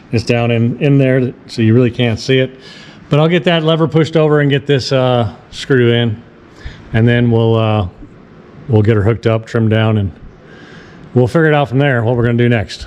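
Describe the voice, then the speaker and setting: The voice holds a very even loudness, with ordinary pitch variation and long, frequent pauses. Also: man, medium pitch for a man. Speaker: boat DIY youtuber. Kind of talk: tutorial. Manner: casual, halting.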